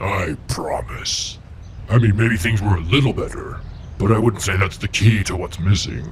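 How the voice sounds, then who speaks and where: A man's cartoonish character voice, fairly low in pitch, at a moderate pace, with clear background noise. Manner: calm, dry.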